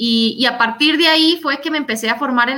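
At a fairly quick pace, a woman speaks. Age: 20s. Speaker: political candidate and veterinarian. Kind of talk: interview.

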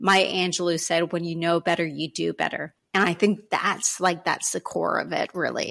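A woman with a Canadian accent speaks at a moderate pace, with hardly any pauses. Her fairly low voice has vocal fry and a monotone, flat intonation. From Canada. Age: 40s. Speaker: self respect coach. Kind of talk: interview.

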